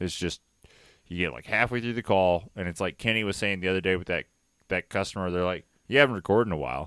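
A man's very deep, low voice at a very fast pace, animated in tone, with ordinary pitch variation, on a very clean recording with a silent background. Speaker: cycling podcast co-host. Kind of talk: casual chat. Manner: animated, jokey ranting.

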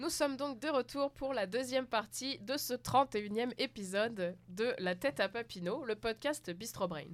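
Speaking in a plain, everyday voice, a woman talks at a fairly slow pace with hardly any pauses, a fairly high pitch and lively intonation. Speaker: podcast host. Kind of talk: scripted show host intro. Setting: studio.

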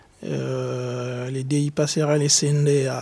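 A dark, mellow tone marks this man's voice. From DR Congo. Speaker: exiled activist. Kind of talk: testimony. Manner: halting.

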